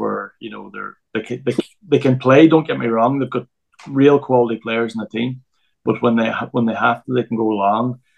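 Speaking at a fairly quick pace with a Northern Irish accent, a man keeps a medium pitch and fairly even intonation. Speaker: football coach. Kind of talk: casual chat. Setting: remote from home.

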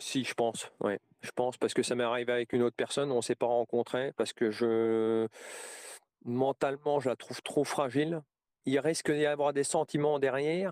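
Dry and close with no echo, a man speaks at a moderate pace with medium pitch and fairly even intonation. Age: 40s. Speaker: interviewee sharing personal story. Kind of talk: testimony. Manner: halting.

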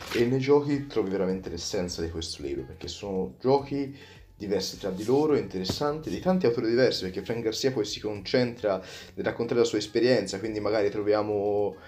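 Lively intonation at a fairly quick pace, with music in the background. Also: man, fairly low pitch for a man. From Tuscany, Prato. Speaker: magician. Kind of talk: podcast interview. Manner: halting, with repetitions.

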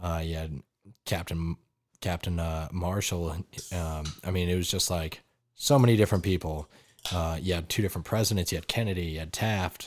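This voice carries an American accent. It moves at a fairly quick pace with fairly even intonation. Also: man, very deep, low pitch for a man. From Wyoming, US. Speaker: army sergeant. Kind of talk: casual chat.

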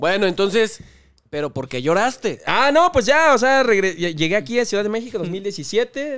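A man speaks at a moderate pace and a high pitch, with very wide pitch swings. The recording is very clean, with a silent background. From Oaxaca, Mexico (Salina Cruz). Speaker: youtuber. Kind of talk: casual chat.

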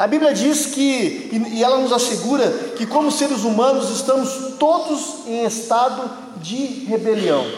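A man's extremely high-pitched voice, fairly slow in pace with ordinary pitch variation, over noticeable background noise. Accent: Brazilian. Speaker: preacher. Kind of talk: sermon in church, with prayer and scripture reading. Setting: church service with congregation. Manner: earnest, persuasive pulpit delivery, direct appeals to the congregation.

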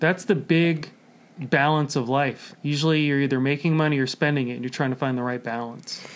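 Here is a man with a plain, everyday voice. His pitch is fairly high and his intonation fairly even. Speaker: comedian. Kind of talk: casual chat. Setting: studio.

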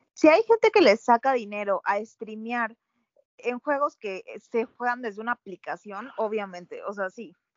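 A woman with a plain, everyday voice speaks at a fairly slow pace, her loudness swinging widely. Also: fairly high pitch for a woman, ordinary pitch variation. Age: 20s. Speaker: podcast co-host. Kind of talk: casual chat.

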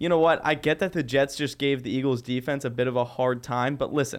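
Speaking fairly quickly, a man uses a fairly high pitch and ordinary pitch variation, captured on a very clean recording with a silent background. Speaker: college podcast host. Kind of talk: casual sports chat. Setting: studio. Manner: animated.

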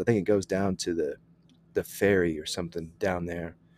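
A plain, everyday voice, a man talks with an American accent at a fairly quick pace and ordinary pitch variation, in a dry, close sound with no echo. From Texas. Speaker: military veteran and entrepreneur. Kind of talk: casual interview.

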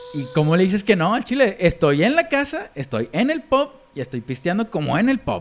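A man with a Mexican accent speaks at a fairly quick pace with hardly any pauses, his high voice swinging very widely in pitch over noticeable background noise. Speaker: podcast co-host. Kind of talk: casual chat.

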